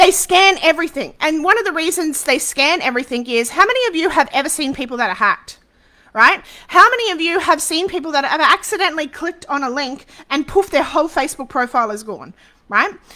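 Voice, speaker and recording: A woman's extremely high, bright, sharp voice is raised and projected as she races along very fast in an animated tone with very wide pitch swings. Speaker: social media business coach. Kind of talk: live webinar masterclass. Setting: Facebook live stream.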